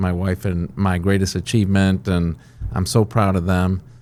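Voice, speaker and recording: This voice has a dark, mellow tone and moves at a fairly slow pace. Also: man. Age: 60s. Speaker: company CEO. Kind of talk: interview. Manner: frequent fillers and restarts.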